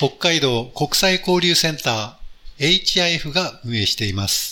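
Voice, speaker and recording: A man's fairly high-pitched voice with lively intonation at a fairly slow pace, over noticeable background noise. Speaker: radio host. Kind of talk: casual chat. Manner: halting.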